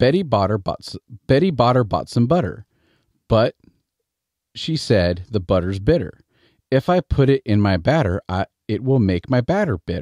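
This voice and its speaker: A man with a Midwestern accent uses very wide pitch swings and takes long, frequent pauses. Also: medium pitch for a man, moderate pace. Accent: Midwestern American, T's flapped to D's. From US Midwest. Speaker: storyteller. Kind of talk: casual explanation; reading aloud. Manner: casual, with fillers.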